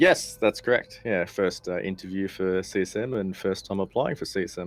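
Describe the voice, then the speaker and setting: A man speaks with an Australian accent at a moderate pace. His pitch is very deep and low. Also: ordinary pitch variation. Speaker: gamer, council candidate, former soldier. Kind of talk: interview.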